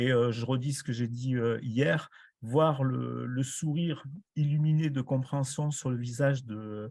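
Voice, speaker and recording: Over a quiet background, a man speaks at medium pitch in a dark, mellow tone with fairly even intonation. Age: 70s. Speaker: retired teacher and judoka. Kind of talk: round-table discussion. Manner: hesitant, many fillers.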